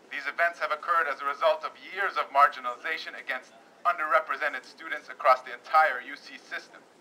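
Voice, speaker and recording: The pace is very fast. Intonation stays fairly even. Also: man. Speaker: speaker. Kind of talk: read public statement. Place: street. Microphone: camera far.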